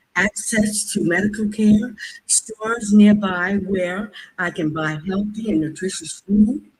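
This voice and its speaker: Somewhat breathy, a woman with an American accent speaks at a fairly slow pace, her medium pitch showing ordinary variation. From US. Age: 70s. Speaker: public commenter, healthcare professional. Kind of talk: public comment at government hearing. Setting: public meeting.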